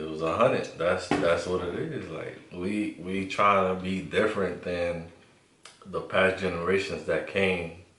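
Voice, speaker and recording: A man with a New York accent speaks at a fairly slow pace, with noticeable background noise and audible room echo. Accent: New York (Bronx) English. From New York City (Bronx), Honduran family. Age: 20s. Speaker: co-host. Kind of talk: casual chat.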